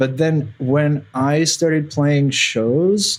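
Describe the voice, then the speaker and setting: A man talks with a Russian accent. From Belarus. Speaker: electronic music artist. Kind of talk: podcast interview.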